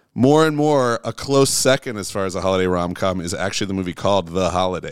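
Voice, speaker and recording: In a normal speaking voice, a man with fairly low pitch talks at a fairly quick pace with lively intonation on a very clean recording with a silent background. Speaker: music producer. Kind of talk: casual chat. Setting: in-person at host's home studio.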